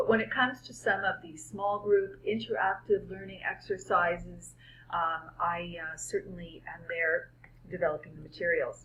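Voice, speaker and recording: Someone with a Canadian accent talks at a moderate pace, with big swings in loudness. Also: woman. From Canada. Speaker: medical school educator. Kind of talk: prepared presentation. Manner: hesitant with many fillers.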